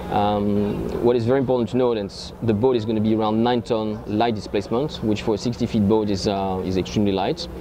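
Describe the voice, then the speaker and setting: With a French accent, a man talks at a fairly quick pace with hardly any pauses, fairly low pitch, fairly even intonation and very even loudness over noticeable background noise. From France. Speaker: yacht owner and boat promoter. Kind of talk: interview. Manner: halting.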